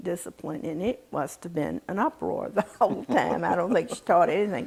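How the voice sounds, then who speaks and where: Vocal fry colors an American accent on a very clean recording with a silent background. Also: woman. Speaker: interviewee recalling family history. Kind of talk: oral history interview answer, reminiscing.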